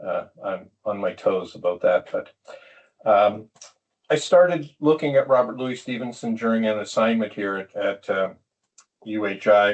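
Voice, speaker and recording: A man with a Canadian accent talks at a moderate pace. He leaves long, frequent pauses. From Canada. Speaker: PhD student and retired museum executive. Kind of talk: academic talk. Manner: halting with fillers.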